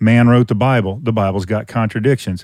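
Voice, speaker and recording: A Louisiana accent on a very clean recording with a silent background. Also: man. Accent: Southern US (Louisiana). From Louisiana, Covington. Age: 50s. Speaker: open air preacher and apologetics teacher. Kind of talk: casual interview conversation; sermon-like exhortation.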